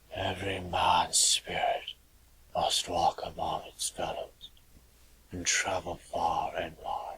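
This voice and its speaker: Putting on a character voice, a man speaks at a fairly slow pace in an extremely high, raspy pitch. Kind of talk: radio drama.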